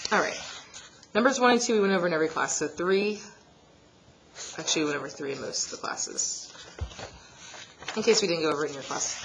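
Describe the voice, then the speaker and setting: Lively intonation marks this woman's medium-pitched voice as she talks at a very fast pace with long, frequent pauses. Audible room echo and noticeable background noise fill the recording. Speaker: math teacher. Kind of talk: tutorial.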